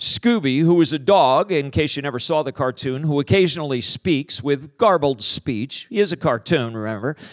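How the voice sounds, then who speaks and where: With an ordinary speaking voice, a man speaks at a moderate pace with hardly any pauses, his fairly high pitch carrying lively intonation in a dry, close sound with no echo. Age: 50s. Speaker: pastor and author. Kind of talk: sermon.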